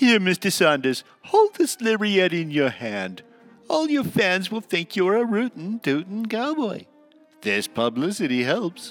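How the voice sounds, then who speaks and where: Over faint music in the background, a man with a high pitch speaks at a fairly slow pace with very wide pitch swings. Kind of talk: 1940s radio acting. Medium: audio drama. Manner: eager, salesman-like.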